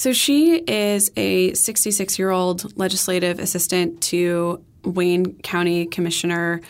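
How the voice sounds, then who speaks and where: A woman with an unremarkable speaking voice talks at a medium pitch and a fairly slow pace with hardly any pauses and ordinary pitch variation, on a very clean recording with a silent background. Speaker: political reporter. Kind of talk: explanatory interview.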